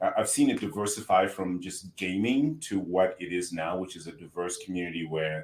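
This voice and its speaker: Speaking in a Zimbabwean accent, a man with a very deep, low voice keeps a moderate pace with hardly any pauses, ordinary pitch variation and big swings in loudness. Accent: Zimbabwean, noticeable. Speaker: healthcare tech entrepreneur. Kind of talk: podcast interview. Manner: halting, repeats words.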